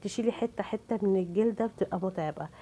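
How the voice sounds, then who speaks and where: Here a woman speaks with an Egyptian accent. Her tone is dark and mellow. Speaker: cooking channel host. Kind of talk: cooking tutorial.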